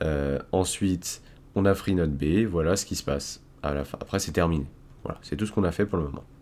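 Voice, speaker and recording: A man is talking. His pace is moderate. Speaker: cybersecurity tutorial youtuber. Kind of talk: screen-recorded coding tutorial. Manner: casual, with fillers and restarts.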